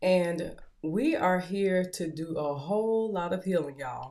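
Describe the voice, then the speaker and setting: A woman with a Southern US accent speaks at a fairly low pitch with ordinary pitch variation. Room echo is audible. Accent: Southern US twang. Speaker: podcast host and author. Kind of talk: motivational talk show monologue.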